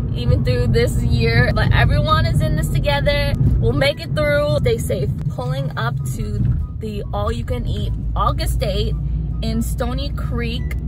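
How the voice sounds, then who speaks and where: Over loud background music, a woman speaks at a fairly slow pace in a dry sound with no echo. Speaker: food vlogger. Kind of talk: casual vlog chat. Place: car. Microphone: phone near.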